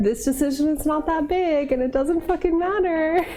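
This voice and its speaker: A woman with an extremely high voice speaks at a fairly quick pace with lively intonation, over noticeable background noise. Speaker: livestreamer. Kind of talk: casual livestream chat while baking.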